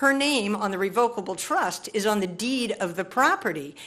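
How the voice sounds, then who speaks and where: The speaker has an animated tone and lively intonation, talking at a moderate pace. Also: woman. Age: 60s. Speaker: public commenter, building owner. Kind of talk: public comment at board meeting. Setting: board meeting.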